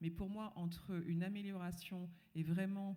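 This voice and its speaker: A woman talks fairly slowly in a fairly low pitch with monotone, flat intonation. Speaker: panel speaker, former school head. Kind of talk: panel discussion talk. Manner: hesitant, many fillers. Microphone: microphone problems at start.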